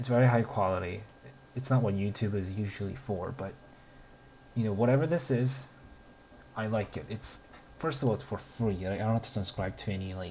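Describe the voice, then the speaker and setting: A man with a non-native accent and a fairly low pitch talks at a fairly quick pace with long, frequent pauses and ordinary pitch variation. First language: not English. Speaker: streamer reacting to a web series. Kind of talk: casual commentary over video. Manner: hesitant, many fillers and restarts. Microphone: bad audio quality, cheap mic.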